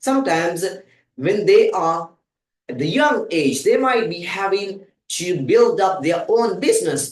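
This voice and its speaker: A man speaks at a fairly slow pace, and room echo can be heard. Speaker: English teacher. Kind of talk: tutorial.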